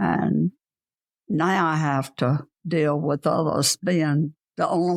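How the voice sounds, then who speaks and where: A woman's very deep, low voice with vocal fry and ordinary pitch variation, dry and close with no echo. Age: 90s. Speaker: grandmother. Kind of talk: interview answer.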